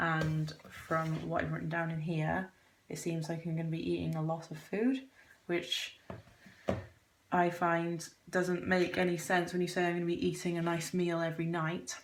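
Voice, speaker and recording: A woman speaks quietly in a fairly low pitch with a British accent. Her intonation is flat and monotone, and her pace is moderate. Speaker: vlogger. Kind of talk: casual vlog. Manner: quiet, monotone.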